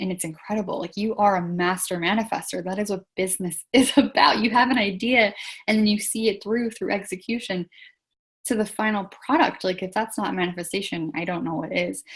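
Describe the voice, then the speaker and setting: Speech comes at a rather brisk tempo, with an ordinary rise and fall in pitch. There is some breathiness to it. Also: woman, medium pitch for a woman. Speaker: business coach. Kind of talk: live webinar. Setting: livestream with chat. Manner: animated.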